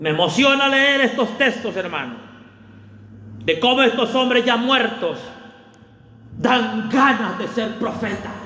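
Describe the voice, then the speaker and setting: Over noticeable background noise and audible room echo, a man with an extremely high pitch speaks in a raised, projected voice and an animated tone, with ordinary pitch variation, a fairly slow pace and long, frequent pauses. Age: 40s. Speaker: pastor. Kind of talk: sermon.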